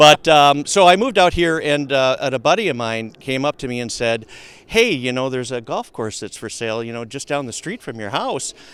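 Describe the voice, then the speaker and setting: Talking at a fairly quick pace, a man with a fairly high pitch and a slight Minnesota accent uses lively intonation and big swings in loudness. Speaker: logistics company founder and CEO. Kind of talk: podcast interview. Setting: outdoors at a golf course. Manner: halting, many fillers.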